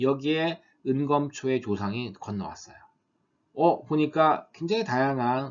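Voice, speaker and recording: A man with a normal speaking voice and medium pitch talks at a moderate pace. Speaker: university lecturer. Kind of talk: lecture.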